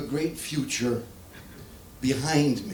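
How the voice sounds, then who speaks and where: Noticeable background noise and audible room echo surround the voice. A man speaks with an American accent. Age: 80s+. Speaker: comedian. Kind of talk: stand-up. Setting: stage with audience.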